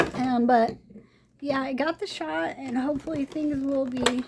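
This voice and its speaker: Her voice is high for a woman, with ordinary pitch variation, heard over noticeable background noise. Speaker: craft video creator. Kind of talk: product review. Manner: hesitant, many fillers.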